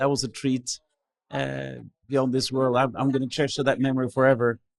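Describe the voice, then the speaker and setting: At a fairly quick pace, a man of medium pitch talks in a flat, monotone way. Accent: Norwegian. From Norway. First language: Norwegian. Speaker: pastor. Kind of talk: interview testimony. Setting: cabin. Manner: halting, repeats words.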